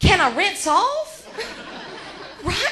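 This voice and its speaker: With audible room echo and noticeable background noise, the speaker projects a raised voice in an animated tone, with very wide pitch swings. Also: woman. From Georgia, US South. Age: 40s. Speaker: comedian. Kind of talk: stand-up. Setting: stage with audience.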